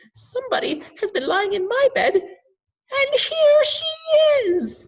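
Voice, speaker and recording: Speaking fairly slowly, someone uses a put-on character voice pitched extremely high. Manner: tiny, small, wee voice.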